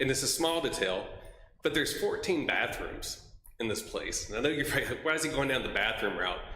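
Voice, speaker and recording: A man speaks with a Mississippi accent. The room echoes audibly, and background noise is noticeable. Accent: US Southern (Mississippi). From Mississippi (Oxford). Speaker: member of the public. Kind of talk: public comment at city commission meeting.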